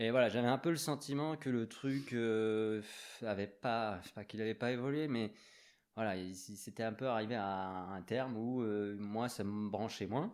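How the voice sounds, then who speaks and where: Recorded very cleanly against a silent background, a man talks at medium pitch and a fairly slow pace with ordinary pitch variation. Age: 40s. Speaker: graffiti artist. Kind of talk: casual chat. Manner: hesitant.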